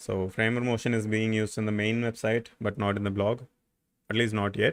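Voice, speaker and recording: A man's fairly low voice, monotone and flat, at a fairly quick pace with very even loudness. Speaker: software developer streamer. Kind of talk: live coding tutorial. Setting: livestream. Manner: casual, many fillers.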